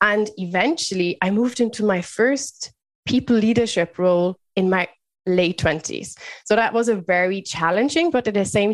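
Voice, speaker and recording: A woman speaks at a moderate pace with a German accent. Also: quiet background. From Germany, Bavaria. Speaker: leadership mentor and business founder. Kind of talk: podcast interview.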